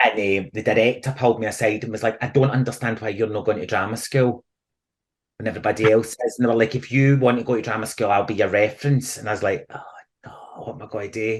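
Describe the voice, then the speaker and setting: A man's somewhat breathy, animated voice with a Glaswegian accent, medium in pitch, at a very fast pace. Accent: Scottish, Glasgow area. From Scotland. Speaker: theatre actor and comedian. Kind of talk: podcast interview answer. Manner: chatty, animated storytelling.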